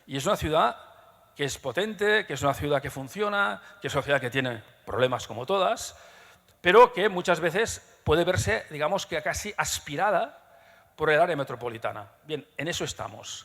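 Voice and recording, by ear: Lively intonation at a moderate pace, with a fairly bright tone and vocal fry. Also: man, fairly high pitch for a man.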